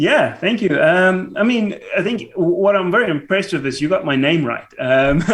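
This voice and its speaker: With a South African accent and a high pitch, a man speaks at a moderate pace with very wide pitch swings over noticeable background noise. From South Africa, small town south of Johannesburg. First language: Afrikaans. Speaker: YouTube cycling creator, financial analyst. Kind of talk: podcast interview. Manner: hesitant, many fillers.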